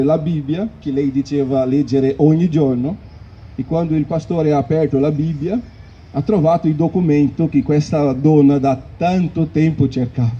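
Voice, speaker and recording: A man with a non-native accent speaks at a moderate pace, his voice somewhat breathy and fairly high. His intonation stays fairly even. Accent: foreign accent in Italian. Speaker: preacher. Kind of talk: sermon. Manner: halting.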